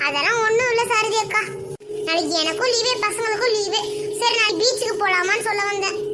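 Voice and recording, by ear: This cartoonish character voice moves at a moderate pace with very even loudness. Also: woman, extremely high pitch for a woman.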